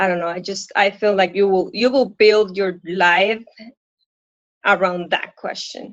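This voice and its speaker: A woman's medium-pitched voice with a Puerto Rican accent. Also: fairly even intonation, fairly slow pace. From Puerto Rico. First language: Spanish. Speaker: coaching client, working mother. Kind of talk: live coaching session. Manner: halting.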